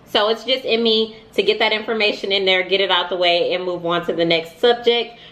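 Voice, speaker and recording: Over noticeable background noise, a woman at a medium pitch talks at a fairly quick pace with hardly any pauses and fairly even intonation. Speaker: money vlogger. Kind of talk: casual advice vlog. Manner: fast.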